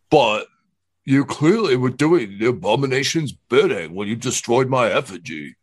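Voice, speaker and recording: A man does a put-on character voice at medium pitch. He goes at a moderate pace over a quiet background. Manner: slow-paced.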